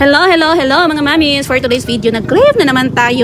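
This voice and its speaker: Shouting in an animated tone at a very fast pace, the speaker is heard through audible room echo and noticeable background noise. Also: woman. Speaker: food vlogger. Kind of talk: vlog narration. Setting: outdoor street food market. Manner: loud, near-shouting.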